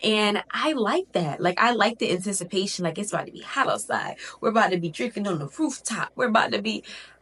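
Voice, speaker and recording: With noticeable background noise behind her, a woman talks very fast at a medium pitch, her intonation lively and hardly any pauses. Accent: American. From Connecticut, with early childhood in Miami. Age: 20s. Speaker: lifestyle vlogger. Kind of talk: casual vlog talk to camera. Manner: chatty, animated.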